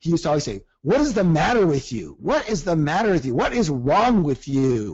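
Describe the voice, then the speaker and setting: A man with a fairly high pitch. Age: 60s. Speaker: personal development coach. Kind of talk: coaching seminar. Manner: animated.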